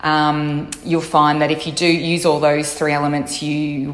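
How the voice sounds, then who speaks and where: Over noticeable background noise, a woman with an Australian accent speaks flatly in a monotone at a very deep, low pitch. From Melbourne, Australia. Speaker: fashion blogger. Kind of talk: recorded interview answer.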